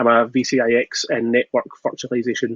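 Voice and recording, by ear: A man with a Glaswegian accent at a moderate pace, in a dry, close sound with no echo. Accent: Glaswegian Scottish.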